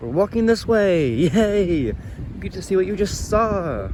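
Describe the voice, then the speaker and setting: A man speaks against noticeable background noise. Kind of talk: casual talk to camera while walking. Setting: outdoors. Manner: hesitant, stuttering.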